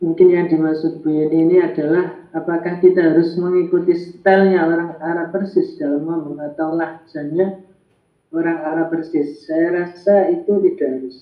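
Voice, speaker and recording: The voice moves at a moderate pace with flat, monotone intonation. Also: man, high pitch for a man. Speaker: Arabic language teacher. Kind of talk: online class discussion. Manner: hesitant with fillers.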